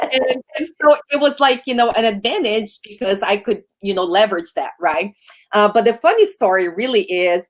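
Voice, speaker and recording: With a Brazilian accent, a woman talks at a moderate pace in a fairly high pitch, her tone animated and intonation lively, with hardly any pauses. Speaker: podcast host and sales coach. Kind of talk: casual interview chat.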